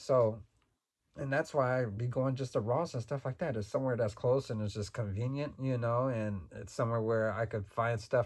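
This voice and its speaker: Speaking at a moderate pace, a man with a medium pitch and ordinary pitch variation sounds somewhat breathy. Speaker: toy reseller and YouTuber. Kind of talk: casual vlog talk. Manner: relaxed; halting.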